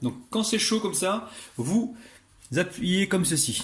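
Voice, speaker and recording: A man with a high pitch and a southwestern French accent speaks in an animated tone with lively intonation. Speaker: cooking youtuber. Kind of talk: tutorial.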